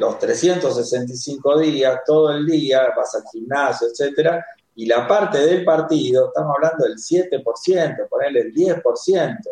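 A man speaks at a very slow pace. He hardly pauses at all. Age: 40s. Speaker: coach. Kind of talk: casual chat.

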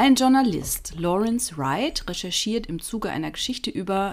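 The speaker is a woman with a fairly high pitch. Her pitch swings very widely. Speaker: podcast co-host, storyteller. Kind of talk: storytelling. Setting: home office.

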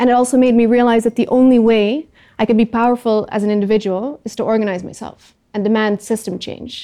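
Talking at a fairly quick pace, a woman with a dark, mellow tone holds a fairly high pitch in a monotone, flat intonation. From Netherlands. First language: Dutch. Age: 30s. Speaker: climate activist. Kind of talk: talk to audience.

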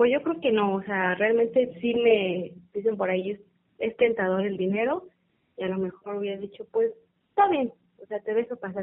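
A woman in a normal speaking voice at medium pitch, moderate pace and ordinary pitch variation. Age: 20s. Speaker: customs and foreign trade graduate. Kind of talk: interview.

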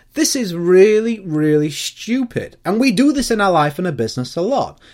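Someone talks at a fairly slow pace on a very clean recording with a silent background. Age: 30s. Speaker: podcast host, business coach. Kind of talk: solo monologue.

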